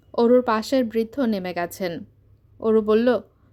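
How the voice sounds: Pitch shifts in an ordinary way through a natural reading voice.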